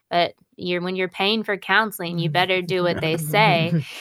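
A woman uses a normal speaking voice at medium pitch with fairly even intonation, the sound dry and close with no echo. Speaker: pastor's daughter, guest. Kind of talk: call-in radio talk show.

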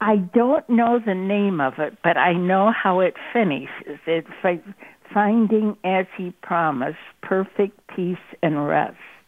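Speaking very slowly in an American accent, a woman with a medium pitch uses lively intonation. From US Midwest, Ohio. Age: 80s+. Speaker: caller, church pianist. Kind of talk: casual chat. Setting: phone call. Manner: halting.

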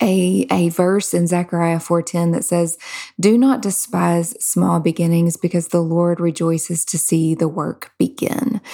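This woman's voice is fairly low, with a dark, mellow tone. She speaks at a fairly slow pace. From Kentucky. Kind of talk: faith-based interview.

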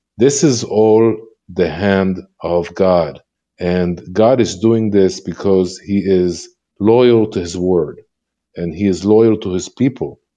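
With an Israeli accent, this man speaks in a dark, mellow tone at a fairly low pitch. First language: Hebrew. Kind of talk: interview testimony. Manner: halting, frequent repetitions.

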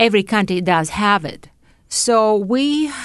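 A woman speaks with a Russian accent. The background is quiet. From Soviet Union, Uzbekistan and Latvia. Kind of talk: interview testimony.

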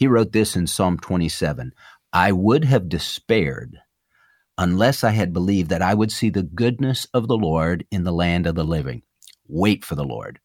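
In a very clean recording with a silent background, a man with a very deep, low voice and some vocal fry talks at a moderate pace with lively intonation. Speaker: pastor and radio host. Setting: studio.

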